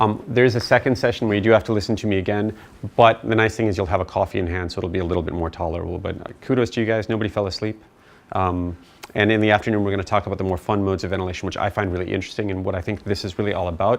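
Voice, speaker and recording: A man talks at a very fast pace with an American accent. His pitch is fairly low and his intonation fairly even. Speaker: physician teaching ventilation. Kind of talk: lecture.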